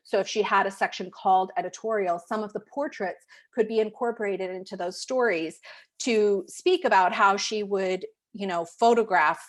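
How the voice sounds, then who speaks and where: A woman's normal speaking voice at a medium pitch and moderate pace, with ordinary pitch variation, in a very clean recording with a silent background. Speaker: photo consultant and photographers' rep. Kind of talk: live portfolio review.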